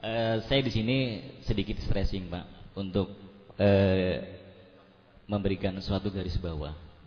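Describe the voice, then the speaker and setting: Somewhat breathy, a man with a fairly low pitch speaks at a fairly slow pace with ordinary pitch variation. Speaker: local resident at town hall meeting. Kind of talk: public speech at community dialogue.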